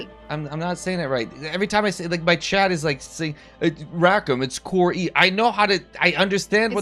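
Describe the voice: High pitch from a man at a fairly quick pace, with ordinary pitch variation and music in the background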